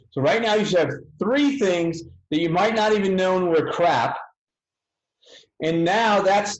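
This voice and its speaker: A man with a high pitch talks at a fairly slow pace with lively intonation. Room echo is audible. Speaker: physical therapy educator. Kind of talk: webinar.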